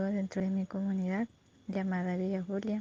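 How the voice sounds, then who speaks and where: Speaking at a moderate pace and medium pitch, a woman uses a dark, mellow, somewhat breathy tone with monotone, flat intonation, and the sound is dry and close with no echo. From Colombia, La Guajira. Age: 20s. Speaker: community educator. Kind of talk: self-introduction.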